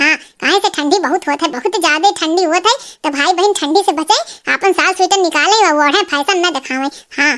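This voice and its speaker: In a cartoonish character voice, a woman squeaks at an extremely high pitch and a fairly quick pace. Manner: plaintive, grumbling.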